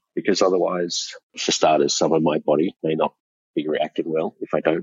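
A man with an Australian accent, talking at a fairly quick pace. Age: 40s. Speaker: male escort. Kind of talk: interview.

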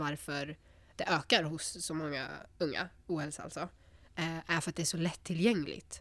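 In a plain, everyday voice, a woman speaks at a fairly low pitch and a moderate pace. Her intonation is fairly even, and the recording is very clean with a silent background. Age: 20s. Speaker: psychology student. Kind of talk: casual chat.

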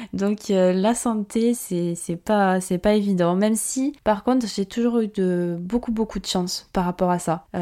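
A woman at medium pitch with a dark, mellow tone, very slow yet with hardly any pauses, on a very clean recording over a silent background. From France. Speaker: podcast host, marketing consultant. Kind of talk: solo podcast monologue. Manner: casual, animated.

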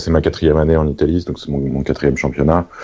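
The speech is flat and monotone, set against noticeable background noise. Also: man. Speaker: sports journalist. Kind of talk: casual chat. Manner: halting, repeats words.

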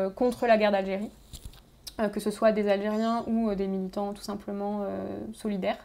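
Her voice has a dark, mellow tone, and the woman speaks in a monotone with flat intonation. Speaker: radio host. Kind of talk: interview.

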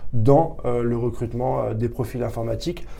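There's audible room echo as a man speaks at a fairly quick pace. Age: 30s. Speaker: tech recruiter. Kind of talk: interview. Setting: office. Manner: halting.

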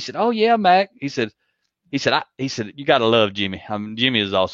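With a Southern US accent, a man talks at a very fast pace with lively intonation, in a dry, close sound with no echo over a quiet background. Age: 50s. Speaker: leadership coach. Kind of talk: interview.

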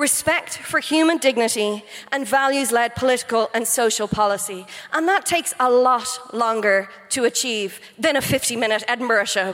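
Over noticeable background noise, a woman with an Irish accent speaks at a high pitch and moderate pace, her loudness very even and her pitch variation ordinary. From Ireland. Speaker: comedian. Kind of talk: comic debate speech. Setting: stage with audience.

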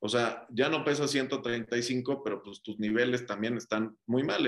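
A man talks at a fairly slow pace with ordinary pitch variation. His is a plain, everyday voice. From Mexico (Cuernavaca, Monterrey). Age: 30s. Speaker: entrepreneur. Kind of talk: casual chat.

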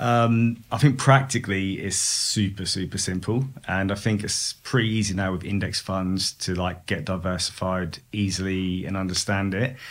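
A man with a British accent and a fairly low pitch talks at a moderate pace with fairly even intonation and hardly any pauses. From UK. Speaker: head of product, podcast guest. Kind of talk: casual chat.

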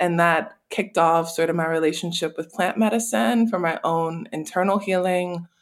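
In a plain, everyday voice, a woman with an American accent talks at a moderate pace with fairly low pitch, ordinary pitch variation and hardly any pauses. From US South, New Orleans. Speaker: spiritual wellness practitioner. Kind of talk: casual chat.

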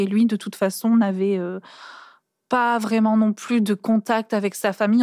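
Using a plain, everyday voice, a woman speaks at medium pitch with fairly even intonation. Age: 20s. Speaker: daughter of an incarcerated mother. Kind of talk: testimony. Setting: seated on the floor, cosy studio.

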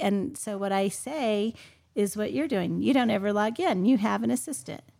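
On a very clean recording with a silent background, a woman with a normal speaking voice talks at a moderate pace in a medium pitch, with ordinary pitch variation. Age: 50s. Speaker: real estate agent. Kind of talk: roundtable discussion.

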